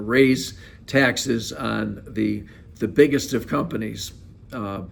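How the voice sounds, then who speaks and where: A man's medium-pitched voice with an American accent, with audible room echo. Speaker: accounting firm presenter. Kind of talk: solo video monologue. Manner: hesitant with frequent uh fillers.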